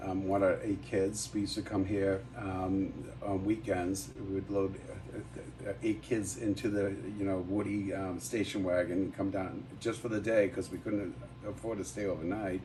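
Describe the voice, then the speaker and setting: A man's fairly low voice rings with audible room echo. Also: ordinary pitch variation, moderate pace. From Massachusetts (Quincy). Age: 60s. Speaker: bar owner. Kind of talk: casual chat. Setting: live show at a brewery.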